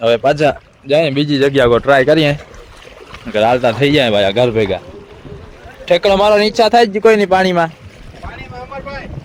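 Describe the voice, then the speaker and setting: Background noise is noticeable throughout. The speaker's pitch rises and falls over a very wide range. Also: man, fairly high pitch for a man. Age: 20s. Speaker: fishing vlogger. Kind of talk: casual outdoor vlog narration. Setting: outdoors.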